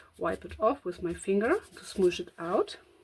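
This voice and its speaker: A woman with a German accent speaks at a fairly slow pace. Her pitch is medium. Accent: German accent, noticeable. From Germany. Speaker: crafting content creator. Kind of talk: craft tutorial with thinking aloud. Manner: hesitant, many fillers.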